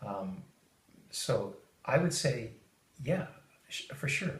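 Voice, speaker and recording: Audible room echo colors a somewhat breathy male voice. He talks at a fairly slow pace with very wide pitch swings. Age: 50s. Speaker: high-tech worker. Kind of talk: interview. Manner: halting, many fillers.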